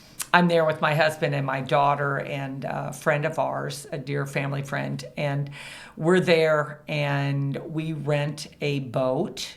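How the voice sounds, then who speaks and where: A woman speaks very slowly with a Midwestern American accent and a very deep, low pitch. Her intonation is monotone and flat, with audible room echo. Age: 60s. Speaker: business founder and CEO. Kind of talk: podcast interview. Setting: recording studio at a co-working space.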